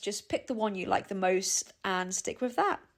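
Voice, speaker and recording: In a British RP accent, a woman speaks on a very clean recording with a silent background. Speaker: English teacher. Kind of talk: language lesson to camera. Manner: friendly, casual.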